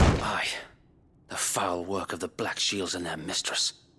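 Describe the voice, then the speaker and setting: Using a put-on character voice, a man sounds raspy and very deep, low in pitch, moving at a fairly slow pace. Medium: video game. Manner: formal, old-fashioned soldierly speech.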